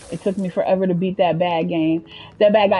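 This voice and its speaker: The woman speaks at a very fast pace. Her voice is somewhat breathy. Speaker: video game streamer. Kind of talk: casual live gameplay commentary. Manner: animated.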